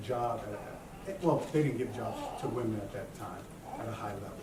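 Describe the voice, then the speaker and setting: Audible room echo and noticeable background noise accompany a man whose pitch varies in an ordinary way. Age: 50s. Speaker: motivational speaker. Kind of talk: conference talk.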